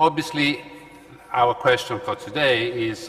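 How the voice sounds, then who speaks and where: A man speaks in an Italian accent. Noticeable background noise is present. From Italy. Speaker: law professor and panel moderator. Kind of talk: conference panel moderation. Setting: conference hall with audience. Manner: halting, many fillers.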